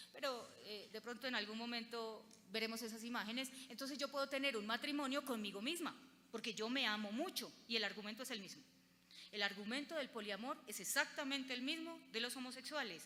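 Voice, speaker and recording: A woman's high-pitched, bright and sharp voice in a paisa accent, at a fairly quick pace, with audible room echo. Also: ordinary pitch variation. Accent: paisa Colombian Spanish. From Colombia, Antioquia (paisa). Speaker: lawyer and lecturer. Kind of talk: conference lecture.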